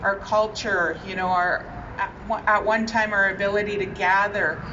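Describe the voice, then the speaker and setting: Audible room echo and noticeable background noise surround a woman talking at a fairly high pitch. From Winnipeg, Manitoba, Canada (Ojibwe). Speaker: provincial politician. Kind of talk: public speech at outdoor ceremony. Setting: outdoors at flag-raising ceremony.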